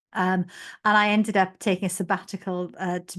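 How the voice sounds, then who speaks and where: A woman's medium-pitched voice over a quiet background. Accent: Welsh. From South Wales, former mining village. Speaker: general practitioner and medical leader. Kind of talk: podcast interview.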